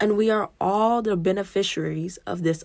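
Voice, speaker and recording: This woman has a plain, everyday voice. She talks at a fairly slow pace with ordinary pitch variation. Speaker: school librarian and podcast host. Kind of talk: reading aloud from a book with asides.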